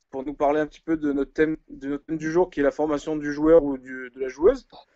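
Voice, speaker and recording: Fairly quick, fairly even speech from a man pitched fairly high. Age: 20s. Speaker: live show host, basketball coach. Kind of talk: live online panel discussion. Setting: live video stream. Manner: hesitant, many fillers.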